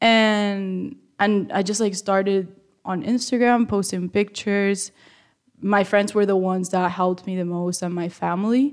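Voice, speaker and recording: A woman at a medium pitch and moderate pace with fairly even intonation, in a very clean recording with a silent background. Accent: Spanish. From Spain. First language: Spanish. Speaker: college student and small business owner. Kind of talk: interview.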